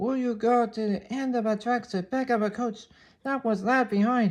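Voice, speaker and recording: A put-on character voice sits at a fairly high pitch and moves at a moderate pace. The recording is very clean, the background silent. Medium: read story.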